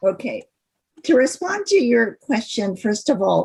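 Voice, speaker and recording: A woman's somewhat breathy voice, fairly slow, with lively intonation. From Cleveland, Ohio. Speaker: consultant and workshop presenter. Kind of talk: lecture.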